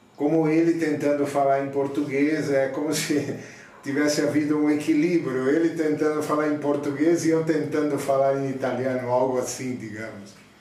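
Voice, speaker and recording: A man's fairly high-pitched, flat, monotone voice at a moderate pace, with audible room echo and noticeable background noise. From Jundiaí, São Paulo state, Brazil. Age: 50s. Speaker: interviewee. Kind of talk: interview.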